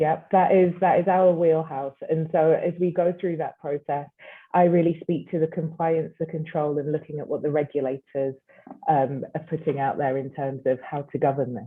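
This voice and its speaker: Here a woman speaks with a British accent. Her pitch is very deep and low, and her intonation is fairly even. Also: moderate pace. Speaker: chief compliance officer. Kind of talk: panel discussion.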